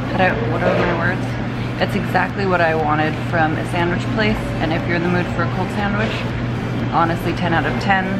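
Over loud background noise, the speaker talks at a fairly quick pace. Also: woman. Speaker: vlogger. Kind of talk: casual vlog chat. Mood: amused, storytelling. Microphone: phone near.

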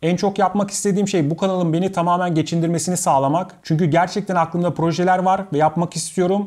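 In a quiet setting, a man talks very fast with a high pitch and a dark, mellow tone. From Istanbul, Turkey; Turkey. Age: 30s. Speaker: YouTuber and video editor; YouTuber. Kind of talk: talking-head Q&A monologue. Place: home room.

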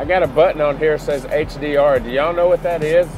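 A man talks at a moderate pace with fairly even intonation, the sound dry with no echo and faint music in the background. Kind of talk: casual vlog chat. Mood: relaxed, cheerful. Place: car. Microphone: phone near.

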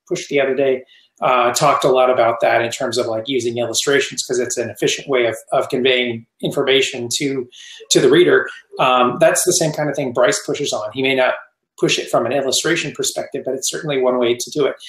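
A man talking at a very fast pace, with audible room echo and a quiet background. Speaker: guest. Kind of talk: interview answer. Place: home room.

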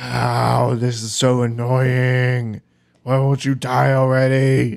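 Very slow delivery in a put-on character voice. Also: man, medium pitch for a man. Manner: annoyed, exasperated.

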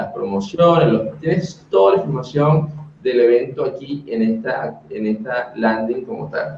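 A man speaks at a fairly slow pace in a somewhat breathy voice. His intonation is lively. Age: 30s. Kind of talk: webinar presentation. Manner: animated.

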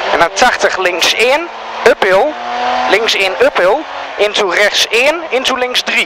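Over noticeable background noise, the speech moves at a very slow pace with long, frequent pauses and a dry sound with no echo. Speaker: rally co-driver. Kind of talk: rally pace notes read aloud. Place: car. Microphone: helmet.

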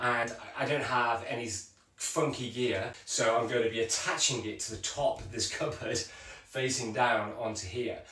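Room echo is audible as a man talks at a moderate pace with a monotone, flat intonation. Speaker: events vlogger. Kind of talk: casual vlog chat. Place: kitchen.

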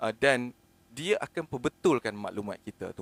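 A moderate pace with dry, close sound and no echo. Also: man. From Malaysia, Penang. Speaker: online content creator. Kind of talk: solo live monologue. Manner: spontaneous, hesitant with fillers.

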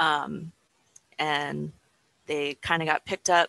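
Very deep and low in pitch yet bright and sharp in tone, a woman speaks at a very slow pace in a dry sound with no echo. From Oahu, Hawaii; Hawaii. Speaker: astronomy outreach staff; guest. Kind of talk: presentation. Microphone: headset.

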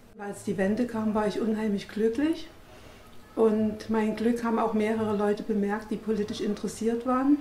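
Through audible room echo and light background noise, a woman speaks at a moderate pace with fairly even intonation. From East Germany. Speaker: politician. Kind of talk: interview testimony. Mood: warm, reflective. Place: home room.

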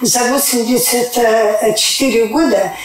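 Audible room echo around a woman's high-pitched voice. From Siberia, Russia. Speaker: clinic patient. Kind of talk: testimonial interview. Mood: earnest, grateful. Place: office.

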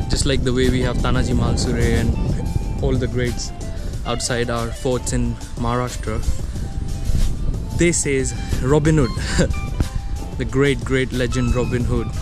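A man talks at a fairly slow pace with long, frequent pauses, his dry sound carrying no echo over clear background music. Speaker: travel vlogger. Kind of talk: casual vlog chat. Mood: cheerful, amused. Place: street. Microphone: phone near.

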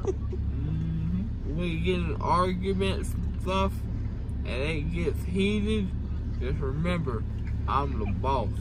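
A man speaks at a very slow pace over loud background noise. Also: dry sound with no echo. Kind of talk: casual vlog chat. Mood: groggy, drowsy, loopy. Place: car. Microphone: phone near.

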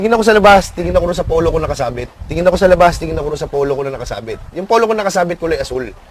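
Against noticeable background noise, a man talks at a very fast pace with a high pitch and lively intonation. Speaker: prison inmate. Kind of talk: interview. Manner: halting.

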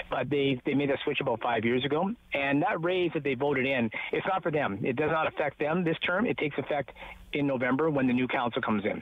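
A very fast voice in a Canadian accent, with a dry sound and no echo. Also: man, fairly high pitch for a man, ordinary pitch variation, very even loudness. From Ontario, Canada. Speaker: newspaper reporter; local newspaper reporter. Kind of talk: casual chat. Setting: phone call outdoors. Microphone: phone line.

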